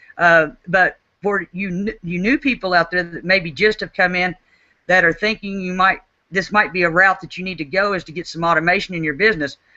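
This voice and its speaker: A woman with an Oklahoma accent speaks at a moderate pace and a medium pitch, showing ordinary pitch variation. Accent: Oklahoma country. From Oklahoma, US. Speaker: network marketing team leader. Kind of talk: webinar talk. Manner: repetitive stammering restarts.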